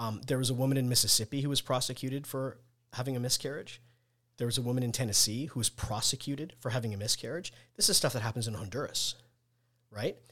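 The recording is very clean and the background silent. A man speaks very fast, his pitch varying in an ordinary way. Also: medium pitch for a man. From Nigeria. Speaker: author and engineering consultant. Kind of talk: casual chat.

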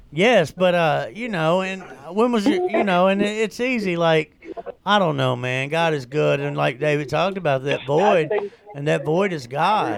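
With lively intonation and a high voice, a man speaks at a moderate pace over noticeable background noise. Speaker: recovery show co-host. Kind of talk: casual chat. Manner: animated.

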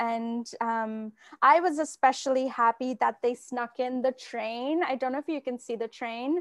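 The sound is dry and close with no echo, over a quiet background. The pace is fairly slow. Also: woman. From India, Kolkata. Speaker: novelist and editor. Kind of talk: author talk and Q&A. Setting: video call from home. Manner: hesitant with many fillers.

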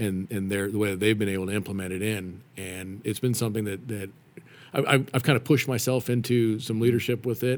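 The man's intonation stays fairly even as he talks at a fairly quick pace. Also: fairly low pitch for a man. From Nevada, US (Reno). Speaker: father, church ministry volunteer. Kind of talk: casual interview. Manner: halting.

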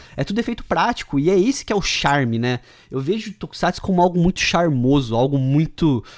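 A man talks at a fairly quick pace, his high voice moving through very wide pitch swings. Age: 20s. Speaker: podcast host. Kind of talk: casual chat.

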